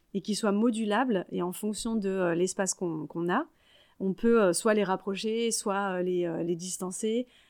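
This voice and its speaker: A woman's unremarkable speaking voice, medium in pitch, with fairly even intonation and a fairly slow pace, on a very clean recording with a silent background. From Paris region, France (Yvelines). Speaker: network coordinator, former primary school teacher. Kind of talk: casual interview.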